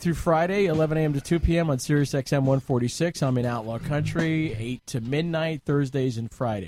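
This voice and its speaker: A man with an American accent speaks at a moderate pace with hardly any pauses. His intonation is lively, and he has an unremarkable speaking voice. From Long Island, New York. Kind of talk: casual banter.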